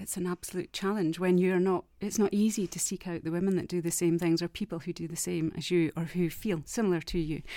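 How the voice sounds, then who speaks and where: With a Scottish accent, a woman talks at a fairly quick pace. Her voice is fairly low, dark and mellow, with fairly even intonation. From Scotland. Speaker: academic researcher. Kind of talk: casual chat.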